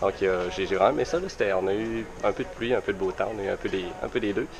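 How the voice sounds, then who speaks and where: Over noticeable background noise, a man with a Quebec accent speaks at a fairly quick pace. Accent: Québécois. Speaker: vlogger. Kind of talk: travel vlog. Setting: outdoors at a bus stop. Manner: hesitant with many fillers.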